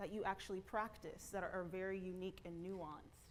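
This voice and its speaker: A woman's medium-pitched voice at a fairly quick pace, with audible room echo. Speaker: conference speaker, developer relations lead. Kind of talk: conference talk. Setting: stage with audience. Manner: fast.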